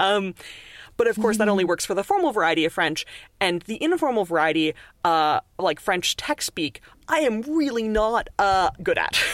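A woman's medium-pitched voice with a Canadian accent, very wide pitch swings, moderate pace and very even loudness, dry and close with no echo, on a very clean recording with a silent background. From Montreal, Canada. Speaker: author and linguist. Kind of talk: casual interview chat.

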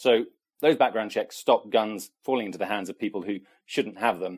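A man at a medium pitch. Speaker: policy correspondent. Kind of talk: interview.

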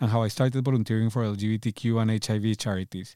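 A man's dark, mellow voice at medium pitch, with fairly even intonation, a very fast pace, and a very clean recording against a silent background. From Colombia. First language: Spanish. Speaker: podcast host. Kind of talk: scripted narration.

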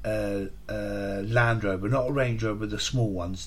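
A man with a fairly low pitch talks at a moderate pace, his voice somewhat breathy. His intonation stays fairly even, and room echo can be heard. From England, Hertfordshire (St Albans). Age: 40s. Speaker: podcast host recounting addiction recovery. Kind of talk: personal testimony monologue. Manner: hesitant, with frequent fillers and repetitions.

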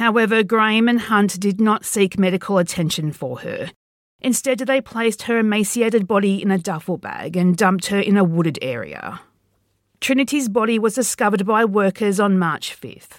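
On a very clean recording with a silent background, a woman uses a normal speaking voice at medium pitch, with ordinary pitch variation and a moderate pace. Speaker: podcast host and writer. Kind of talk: true-crime narration, scripted and read aloud. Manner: grave, measured, steady, serious tone; formal, even delivery.

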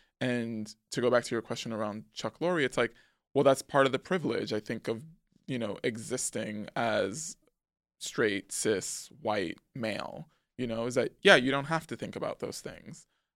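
Recorded dry and close with no echo on a very clean, silent background, a man with an American accent and a normal speaking voice talks at a moderate pace with ordinary pitch variation. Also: medium pitch for a man. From New York City, the Bronx. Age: 30s. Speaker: screenwriter. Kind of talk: casual chat.

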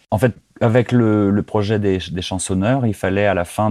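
Very slow speech comes from a man with a dark, mellow tone. His pitch is fairly low, with ordinary variation. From France. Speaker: singer-songwriter. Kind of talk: interview. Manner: hesitant, many repetitions.

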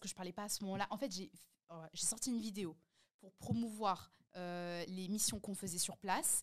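In a plain, everyday voice, a woman talks at a moderate speed, her medium pitch staying fairly even. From France. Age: 20s. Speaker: podcast host and content creator. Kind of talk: casual chat.

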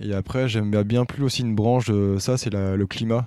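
Very clean and silent in the background, the recording holds a man's fairly low voice with a dark, mellow tone. His intonation is monotone and flat. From Brittany, near Brest. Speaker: PhD student and adventurer. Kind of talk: interview.

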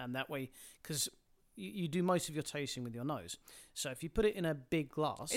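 A man with a British accent, fairly high in pitch, lively in intonation, at a fairly quick pace broken by long, frequent pauses. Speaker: podcast guest.

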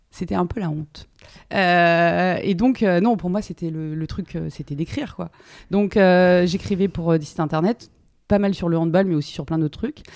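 On a very clean recording with a silent background, a woman talks at a fairly low pitch with ordinary pitch variation. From France, Drôme. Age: 30s. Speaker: sports TV journalist. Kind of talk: interview. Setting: at her home. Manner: hesitant, many fillers.

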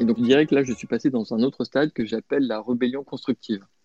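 A man's dark, mellow voice at medium pitch and a fairly quick pace, with a dry, close sound and no echo. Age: 40s. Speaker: bank project manager. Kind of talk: interview.

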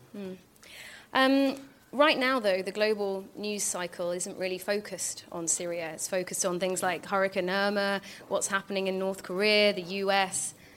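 Using a normal speaking voice, this woman talks at a medium pitch. She keeps a moderate pace, and her intonation stays fairly even. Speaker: podcast host. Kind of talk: live interview on stage. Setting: stage with audience.

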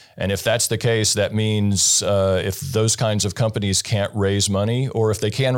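With noticeable background noise, a man with an American accent speaks at a moderate pace in a fairly low, monotone voice with flat intonation. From US rural farming state. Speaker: investor. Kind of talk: interview. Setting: studio.

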